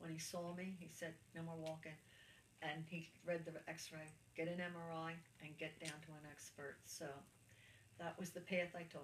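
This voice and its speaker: A woman's fairly low, somewhat breathy voice at a moderate pace, monotone and flat, with long, frequent pauses and audible room echo. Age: 70s. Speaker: cancer patient interviewee. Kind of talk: interview testimony. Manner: halting.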